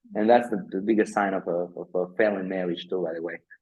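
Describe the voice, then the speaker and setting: Speaking at a fairly quick pace, a man with a Spanish accent uses ordinary pitch variation. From Dominican Republic, La Vega. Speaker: architect, interview guest. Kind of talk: interview on video call. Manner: halting, many fillers and repeats.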